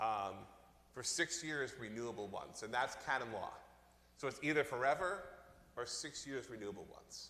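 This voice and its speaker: In a Long Island accent, a man with a bright, sharp tone and medium pitch speaks at a moderate pace, using lively intonation and long, frequent pauses amid audible room echo. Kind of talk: Q&A at parish meeting. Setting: church meeting, livestreamed.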